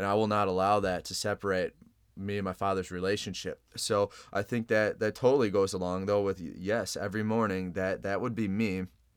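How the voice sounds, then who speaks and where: Over a silent background in a very clean recording, a man with a fairly low pitch talks at a fairly quick pace in a flat monotone. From Chicago. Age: 20s. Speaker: podcast guest. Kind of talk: casual interview.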